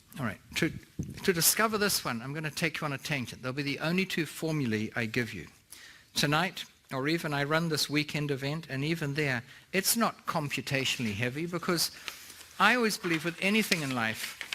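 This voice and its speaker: Bright and sharp in tone, a man with a fairly high pitch talks at a fairly quick pace with lively intonation. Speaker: real estate investment speaker. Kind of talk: seminar talk. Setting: stage with audience. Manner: animated.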